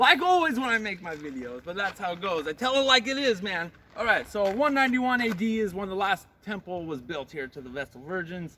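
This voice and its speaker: Raised and projected, a man's high-pitched voice shows very wide pitch swings and big swings in loudness. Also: fairly quick pace. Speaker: travel vlogger. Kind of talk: walking tour vlog. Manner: casual, hesitant with fillers.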